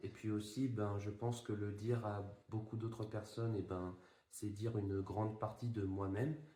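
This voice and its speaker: A man speaks in a flat monotone, fairly low in pitch and somewhat breathy, with a dark, mellow tone. Room echo is audible. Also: moderate pace, very even loudness. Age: 20s. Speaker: project founder. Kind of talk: interview. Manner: hesitant, many fillers.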